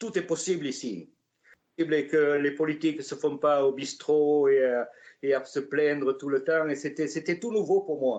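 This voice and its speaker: With fairly even intonation, a man talks in a fairly high voice. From southwestern France, Gascony near Pau. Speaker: artist, retired tradesman. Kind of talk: interview, life story. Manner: hesitant, many fillers.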